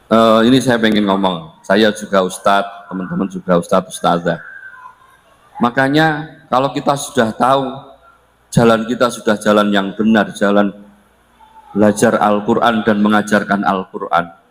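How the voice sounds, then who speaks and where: His pitch sits fairly low. This man's voice shows ordinary pitch variation. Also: moderate pace. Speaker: Islamic preacher. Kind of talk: religious lecture. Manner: loud; casual, code-switching.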